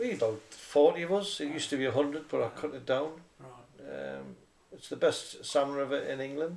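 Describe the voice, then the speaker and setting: At a moderate pace, a man is talking. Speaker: interviewee. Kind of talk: interview answer. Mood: amused, storytelling. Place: home room. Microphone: camera far.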